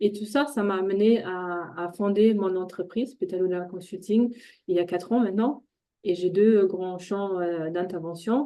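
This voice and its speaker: A woman with a slight German accent speaks at a moderate pace in a dark, mellow tone with fairly even intonation. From Germany, Ruhr area (Dortmund). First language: German (speaking French). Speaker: intercultural trainer and coach. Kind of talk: webinar presentation. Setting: online webinar. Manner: hesitant, many fillers.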